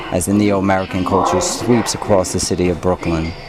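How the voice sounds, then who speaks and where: Noticeable background noise sits under the man's very deep, low voice. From Brooklyn, New York. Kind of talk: personal story narration. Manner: preaching.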